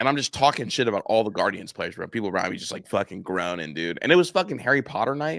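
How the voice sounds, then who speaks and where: Loud and animated, a man at a medium pitch talks at a very fast pace with very wide pitch swings and hardly any pauses, on a very clean recording with a silent background. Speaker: sports podcast co-host. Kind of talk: casual chat.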